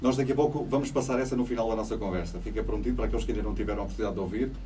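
A man races along at a very fast pace while light background noise plays behind him. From Portugal, Évora (Alentejo); Portugal. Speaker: radio host. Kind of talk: radio interview with call-ins. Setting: radio studio. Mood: friendly, upbeat. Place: studio.

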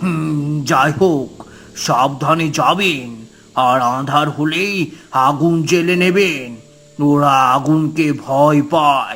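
A man does a cartoonish character voice, fairly high-pitched, speaking very slowly with fairly even intonation. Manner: grave, hesitant.

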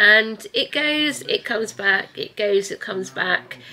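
A woman speaks over light background noise. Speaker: family vlogger. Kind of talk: casual vlog chat. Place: home room. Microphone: phone near.

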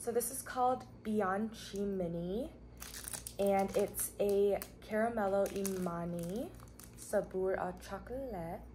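At a very slow pace, a woman speaks with ordinary pitch variation over light background noise. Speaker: food reviewer. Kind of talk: casual vlog chat. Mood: relaxed, cheerful. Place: home room. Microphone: camera far.

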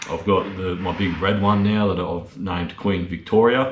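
A man with an Australian accent speaks in a very deep, low voice at a moderate pace and with fairly even intonation. Light background noise and audible room echo are present. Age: 30s. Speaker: lawn care business owner and YouTuber; YouTuber. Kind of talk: casual Q&A video monologue. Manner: casual, filler-heavy. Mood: relaxed, candid. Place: garage. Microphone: phone near.

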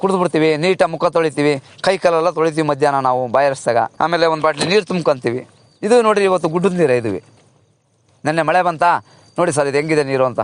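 A man speaks in a normal speaking voice, fairly high in pitch, with ordinary pitch variation. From Karnataka, Hassan district (Arasikere). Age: 40s. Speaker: cattle farmer. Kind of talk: casual interview.

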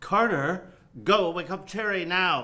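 In a put-on character voice, a man speaks slowly at a high pitch, with a bright, sharp tone and ordinary pitch variation.

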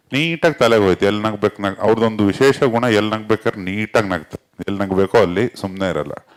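A man speaks at a fairly low pitch in a plain, everyday voice. The sound is dry and close, with no echo. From North Karnataka. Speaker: film director and writer. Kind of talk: press meet talk.

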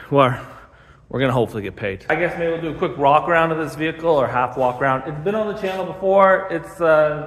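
Over noticeable background noise, a man with a fairly high pitch and ordinary pitch variation speaks at a very fast pace. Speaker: car mechanic and YouTuber. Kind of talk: casual shop vlog. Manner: casual, rambling.

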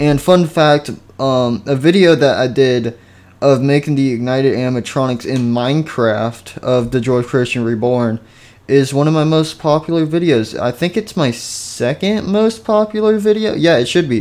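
At a moderate pace, this is an ordinary speaking voice with lively intonation. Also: man, fairly high pitch for a man. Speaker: gaming video creator. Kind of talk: casual, chatty.

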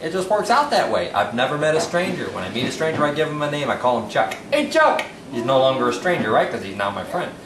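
Talking at a very fast pace with hardly any pauses, a man's voice makes very wide pitch swings amid noticeable background noise and audible room echo. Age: 40s. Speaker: home cook. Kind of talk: audition tape cooking demo. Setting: home kitchen. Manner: animated.

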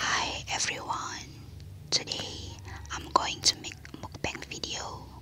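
A woman whispers. She goes at a very slow pace. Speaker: ASMR creator. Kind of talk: whispered ASMR intro to camera. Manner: whispered. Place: home room. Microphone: studio mic.

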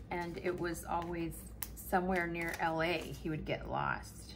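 There is light noise in the background. Against it, a woman talks at a moderate speed. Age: 40s. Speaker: planner YouTuber. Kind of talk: casual chat. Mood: amused, self-deprecating.

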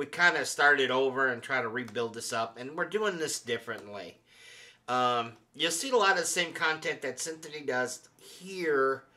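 A man's bright, sharp voice at a moderate pace, with lively intonation. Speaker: channel host. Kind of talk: casual vlog commentary. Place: home room. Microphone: studio mic.

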